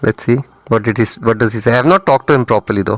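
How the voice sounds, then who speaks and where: A man speaks with an Indian accent. The sound is dry and close, with no echo. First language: not English (Indian language). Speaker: trading mentor. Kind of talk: live trading stream commentary. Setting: live stream. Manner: casual, conversational.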